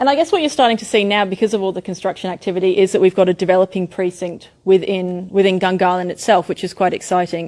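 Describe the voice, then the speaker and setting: Speaking at a very fast pace with hardly any pauses, a woman with a medium-pitched voice uses ordinary pitch variation in a very clean recording with a silent background. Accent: Australian. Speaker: architect presenting a development. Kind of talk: public meeting presentation. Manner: animated.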